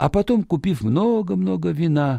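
With lively intonation and a dark, mellow tone, a man talks at a moderate pace in a high pitch, adding vocal fry.

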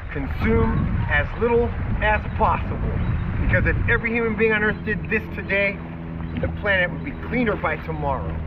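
A man talks at a moderate pace. Loud background noise runs underneath. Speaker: outdoor adventure vlogger. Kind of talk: casual vlog outro. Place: boat.

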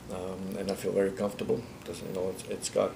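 Noticeable background noise under a man's fairly quick speech. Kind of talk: interview answer. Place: office.

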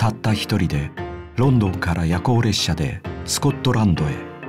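Music plays behind a man with a very deep, low voice and very wide pitch swings. He talks at a moderate pace. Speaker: actor and narrator. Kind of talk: movie trailer narration. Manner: matter-of-fact, calm.

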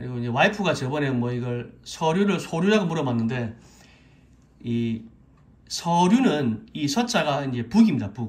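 A somewhat breathy male voice, fairly high in pitch, with very wide pitch swings and a moderate pace. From South Korea. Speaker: Korean language teacher on YouTube. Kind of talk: tutorial; lecture. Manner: halting, many fillers. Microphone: phone near.

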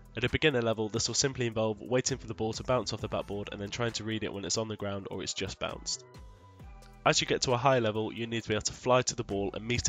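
Music plays in the background as a man talks at a very fast pace, his medium pitch held in fairly even intonation. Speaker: gaming content creator. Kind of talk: gaming tutorial voice-over.

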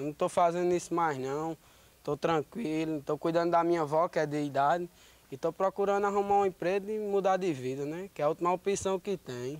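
At a fairly quick pace, a man with a high pitch and ordinary pitch variation speaks in a dry recording with no echo. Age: 20s. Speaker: accused young man; interviewee. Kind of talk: street interview. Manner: halting. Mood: earnest, defensive. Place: street. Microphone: handheld.

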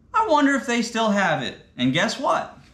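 A man at a very slow pace in audible room echo. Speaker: fishing channel host. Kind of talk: casual unboxing vlog chat. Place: garage. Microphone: camera far.

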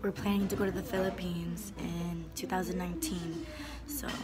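A woman talks at a moderate pace. Loud background noise sits behind her. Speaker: vlogger. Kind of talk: casual vlog chat. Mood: cheerful, satisfied. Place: cafe. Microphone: phone near.

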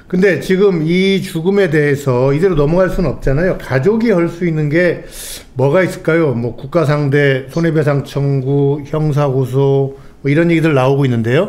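A man with a fairly high pitch uses an ordinary speaking voice, ordinary pitch variation and a moderate pace. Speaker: political commentator. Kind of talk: live political talk show. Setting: studio. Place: studio. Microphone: studio mic.

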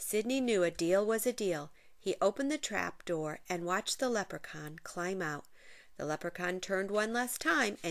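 With lively intonation, the speaker is reading aloud in a natural voice.

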